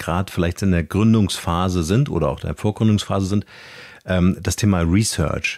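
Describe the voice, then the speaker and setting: Fairly quick and with fairly even intonation, this is an ordinary speaking voice. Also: man. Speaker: podcast host. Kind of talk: casual interview. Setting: video call.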